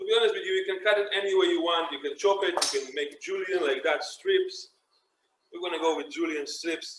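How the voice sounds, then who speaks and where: A man with an Israeli accent speaks at a fairly quick pace. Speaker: chef. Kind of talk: cooking tutorial.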